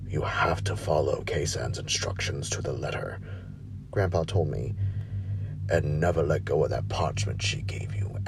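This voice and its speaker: A man talks at a moderate speed, with music playing in the background. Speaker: narrator. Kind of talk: horror story reading.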